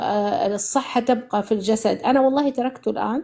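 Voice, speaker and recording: A woman's high voice with a dark, mellow tone, ordinary pitch variation and a moderate pace. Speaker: caller giving a testimonial. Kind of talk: testimony. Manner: halting, many false starts and fillers; switches to formal Arabic.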